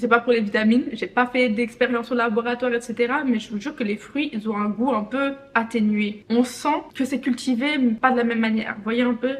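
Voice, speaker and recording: Against noticeable background noise, a woman speaks in a high voice with hardly any pauses. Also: moderate pace. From Benin. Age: 20s. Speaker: vlogger. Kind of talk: casual vlog monologue. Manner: animated.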